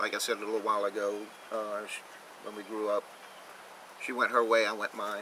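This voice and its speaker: A man's voice against noticeable background noise. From Louisiana, Marrero (New Orleans area). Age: 60s. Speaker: homesteading vlogger, sheriff's deputy. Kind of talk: casual vlog talk to camera. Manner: casual, halting with self-corrections.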